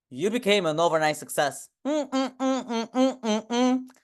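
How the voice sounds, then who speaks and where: Against a quiet background, a woman speaks in an animated tone at a fairly high pitch. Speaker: online business coach. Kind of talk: team training. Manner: loud.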